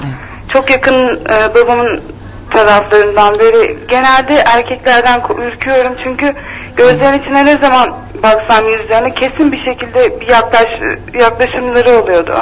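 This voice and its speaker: Noticeable background noise runs behind a woman's high-pitched voice. She talks at a moderate pace with fairly even intonation. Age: 20s. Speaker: caller. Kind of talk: personal problem on phone-in.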